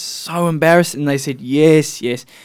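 A man's fairly high voice with a New Zealand accent. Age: young. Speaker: student radio host. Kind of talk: casual radio talk. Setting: radio studio.

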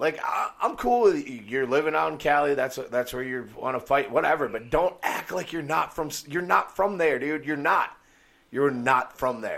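With an American accent and a normal speaking voice, a man talks at a moderate pace, his fairly high pitch showing ordinary pitch variation. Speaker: podcast host, MMA fan. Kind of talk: angry rant. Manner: fuming, profane, loud, sarcastic.

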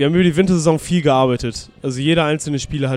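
Someone talks at a very fast pace with ordinary pitch variation. Music plays in the background. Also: man. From northern Germany, near Bremen. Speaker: amateur American football player. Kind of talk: interview. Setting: restaurant by the river.

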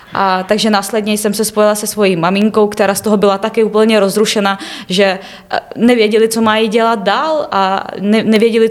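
Noticeable background noise beneath a moderate pace and fairly even intonation. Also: woman. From Ukraine, Kyiv region (Obukhiv). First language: Ukrainian/Russian (speaking Czech). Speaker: university student. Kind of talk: interview. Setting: studio.

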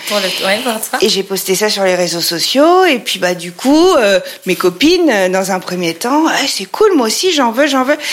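A woman speaks fairly slowly in a fairly high pitch with very wide pitch swings. Noticeable background noise runs behind her. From France, Troyes (Champagne). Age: 40s. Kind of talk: interview. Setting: her showroom. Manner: hesitant, many fillers.

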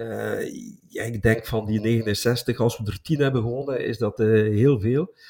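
A man talks at a medium pitch, his voice somewhat breathy and his intonation fairly even. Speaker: football podcast co-host, travelling supporter. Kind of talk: casual chat.

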